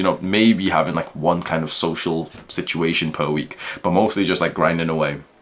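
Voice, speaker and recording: The speaker has a British accent and an animated tone, with ordinary pitch variation. The pace is fairly quick, and there is noticeable background noise. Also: man. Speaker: self-improvement YouTuber. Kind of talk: casual vlog monologue.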